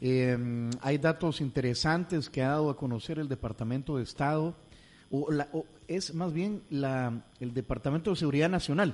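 The speaker has a plain, everyday voice, talking at a moderate pace with ordinary pitch variation. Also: man, fairly high pitch for a man. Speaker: radio host. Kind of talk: radio interview.

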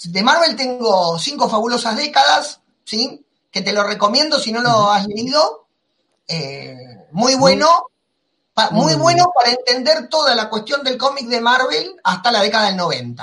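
A man's raised, projected voice, extremely high in pitch, bright and sharp in tone, with lively intonation and an Argentine accent. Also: fairly slow pace. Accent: Rioplatense Argentine Spanish. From Argentina. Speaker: comics podcast host. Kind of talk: casual chat.

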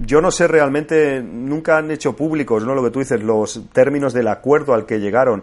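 A man talks at a moderate pace in a medium pitch. He has a normal speaking voice with ordinary pitch variation. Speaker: podcaster and video game fan. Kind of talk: casual chat.

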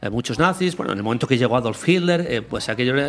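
Noticeable background noise sits behind this voice. A man of medium pitch talks with lively intonation. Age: 40s. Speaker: researcher and podcaster. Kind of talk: casual chat.

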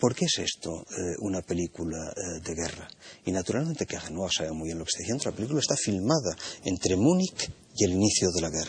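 Somewhat breathy, the voice races at a very fast pace with lively intonation. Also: man, very deep, low pitch for a man. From Spain. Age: 60s. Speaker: philosophy professor, panelist. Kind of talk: panel discussion.

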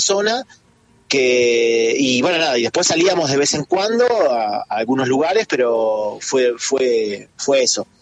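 A man talks in a medium pitch, with noticeable noise in the background. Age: 50s. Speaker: flamenco dancer. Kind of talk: interview.

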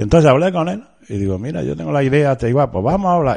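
A man with a dark, mellow tone and very wide swings in pitch. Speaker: shop owner and brotherhood leader. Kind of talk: interview.

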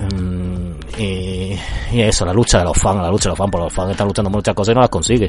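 Against noticeable background noise, a man with a very deep, low pitch talks at a very fast pace with fairly even intonation. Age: 30s. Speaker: podcast host. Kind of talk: casual monologue.

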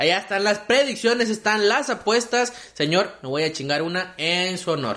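In a raised, projected voice, a man with a high pitch speaks at a moderate pace, animated in tone and lively in intonation. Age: 20s. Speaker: comedy podcast host. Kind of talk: casual chat.

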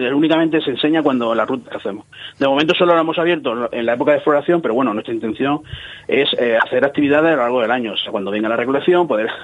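His pitch sits fairly high with ordinary variation. The man's words come at a very fast pace. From Cieza, Murcia, Spain. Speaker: marketing company founder. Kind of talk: radio interview. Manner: animated.

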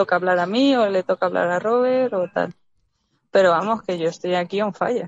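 This woman has an ordinary speaking voice at a medium pitch. She talks at a moderate pace with ordinary pitch variation. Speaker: caller. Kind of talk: casual chat. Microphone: connection cuts out.

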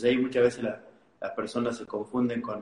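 A man talks with an Argentine accent in a medium pitch. Noticeable background noise runs behind him. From Argentina, Tucumán. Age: 20s. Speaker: life coach. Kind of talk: interview.

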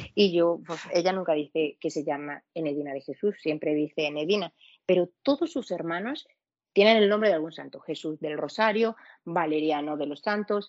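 Her voice is fairly low for a woman, moving at a moderate pace with ordinary pitch variation. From Venezuela. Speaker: podcast guest. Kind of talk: casual chat.

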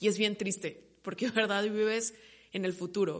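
This woman's voice sits at a medium pitch, and her intonation stays fairly even. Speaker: podcast host. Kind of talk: casual solo monologue. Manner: halting, stumbles over words.

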